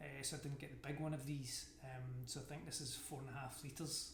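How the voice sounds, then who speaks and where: In a Scottish accent, the speaker keeps a flat, monotone intonation. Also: man. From Scotland. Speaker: amateur endurance athlete. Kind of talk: casual talk to camera, gear review.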